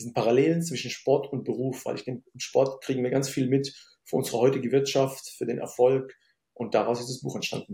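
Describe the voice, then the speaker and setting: A man speaks at a fairly quick pace at a medium pitch, somewhat breathy, with a dark, mellow tone and monotone, flat intonation. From Germany, Syrian-born. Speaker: business consultant. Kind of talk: interview conversation.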